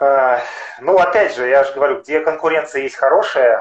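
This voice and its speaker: A man speaks against a quiet background. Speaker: amateur marathon and ultramarathon runner; guest. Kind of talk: interview. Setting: video call over mobile internet. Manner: halting, many fillers. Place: home room. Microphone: unstable connection; video call.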